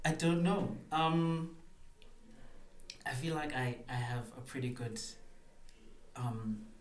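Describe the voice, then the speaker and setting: A man at a very slow pace with long, frequent pauses, medium pitch and ordinary pitch variation, against noticeable background noise. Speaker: spoken word poet. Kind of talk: podcast interview answer. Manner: hesitant, casual.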